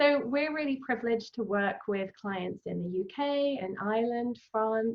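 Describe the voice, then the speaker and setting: A woman speaks with a British accent at a moderate pace. Her pitch is fairly high, with ordinary pitch variation. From England. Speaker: travel company founder. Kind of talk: interview. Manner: many filler ums.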